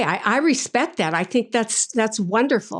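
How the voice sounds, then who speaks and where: The speech moves at a fairly slow pace with vocal fry and very wide pitch swings. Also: woman. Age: 70s. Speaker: life and spiritual coach. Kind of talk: interview conversation. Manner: animated.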